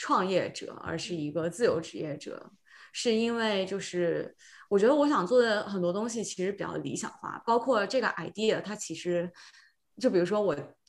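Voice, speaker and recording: A woman has an unremarkable speaking voice at medium pitch, with lively intonation and big swings in loudness. She keeps a moderate pace on a very clean recording with a silent background. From China, Shenzhen. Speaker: podcast guest, tech worker returning to China. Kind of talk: casual chat.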